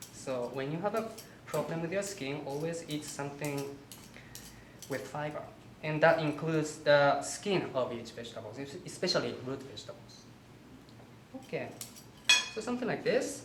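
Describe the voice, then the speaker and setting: Over noticeable background noise, the speaker, with a Japanese accent, keeps a moderate pace broken by long, frequent pauses. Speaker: holistic health counselor and cooking instructor. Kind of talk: cooking demonstration. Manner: halting.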